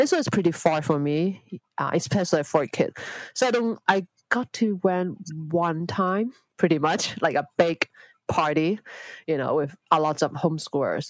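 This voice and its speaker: A woman's fairly low voice in a Hong Kong accent, at a moderate pace with ordinary pitch variation, with a dry, close sound and no echo. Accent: Hong Kong Cantonese-accented English. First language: Cantonese. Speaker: homeschooling mother. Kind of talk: interview conversation. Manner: halting, hesitant non-native phrasing.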